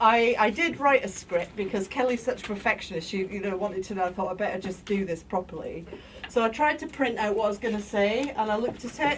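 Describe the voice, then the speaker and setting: Noticeable background noise sits behind a woman who speaks at a very fast pace. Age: middle-aged. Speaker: mental health service user and activist. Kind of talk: talk to an audience. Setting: lecture room with audience. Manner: loud; informal, digressive. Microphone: no microphone, speaking unamplified.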